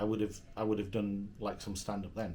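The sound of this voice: The man talks at a fairly quick pace, with audible room echo around his voice.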